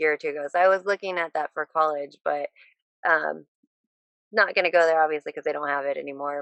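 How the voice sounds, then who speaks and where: The voice carries an American accent and an ordinary speaking voice with ordinary pitch variation. The sound is dry and close, with no echo. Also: woman. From Southern California. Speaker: MMA and bare knuckle fighter. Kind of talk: casual chat.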